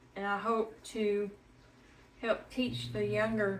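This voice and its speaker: Speaking very slowly in a Tennessee accent, a woman with a medium-pitched voice makes very wide pitch swings, with audible room echo around her. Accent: Tennessee Southern. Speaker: home cooking channel host. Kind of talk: cooking tutorial. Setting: home kitchen. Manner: casual, chatty.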